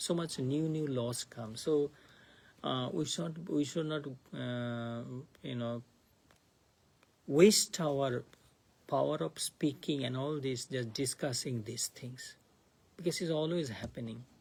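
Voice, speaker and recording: Very slowly and with long, frequent pauses, a man speaks in a fairly high, somewhat breathy voice with ordinary pitch variation. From India (Bengal). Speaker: monk teaching scripture class. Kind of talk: lecture. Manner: halting.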